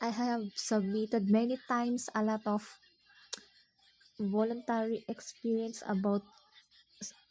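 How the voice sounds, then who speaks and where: With a non-native accent, a woman speaks at a fairly slow pace with long, frequent pauses, her fairly high pitch carrying monotone, flat intonation, a dark, mellow tone and a somewhat breathy quality. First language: not English. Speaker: video blogger. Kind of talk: monologue vlog. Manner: halting.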